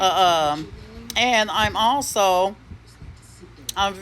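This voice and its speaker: A woman at a very slow pace, with ordinary pitch variation and noticeable background noise. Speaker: spiritual content creator. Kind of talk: spiritual monologue. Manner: bold, cocky-sounding delivery; halting, repeats words.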